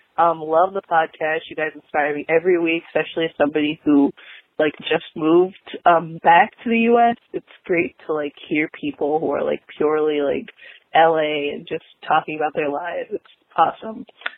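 A woman with a normal speaking voice and an American accent talks at a moderate pace, her fairly low pitch showing ordinary variation. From outside the US. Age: 20s. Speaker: caller, college student. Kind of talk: voicemail. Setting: phone voicemail.

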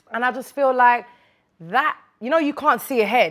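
On a very clean recording with a silent background, the woman's speech moves at a fairly quick pace. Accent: Birmingham. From Birmingham, England. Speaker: rapper. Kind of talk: casual interview chat.

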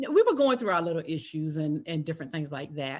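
A woman speaks with an American accent against a quiet background. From US South, South Carolina. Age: 50s. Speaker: podcast host and speaker coach. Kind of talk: casual interview.

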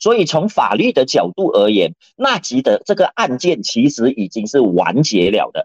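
In a dry, close recording with no echo, a man with a fairly high pitch and vocal fry swings very widely in pitch. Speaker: lawyer and political columnist. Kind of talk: radio current-affairs commentary.

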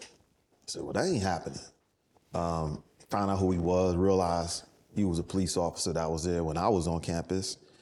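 A man with a New York accent speaks very fast in a very deep, low voice. His tone is dark and mellow, and his intonation stays fairly even. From New York City, the Bronx. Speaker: entrepreneur. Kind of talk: interview. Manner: casual.

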